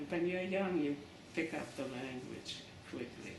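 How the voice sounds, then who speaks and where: Amid noticeable background noise and audible room echo, a woman speaks at a very deep, low pitch. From Berlin, Germany, then New York Lower East Side from age 10. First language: German. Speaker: Holocaust survivor. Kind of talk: oral history interview. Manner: halting, many fillers.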